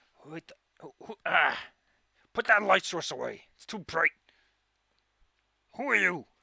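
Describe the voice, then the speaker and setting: A put-on character voice at a middle pitch moves at a moderate pace, broken by long, frequent pauses. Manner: startled, suspicious.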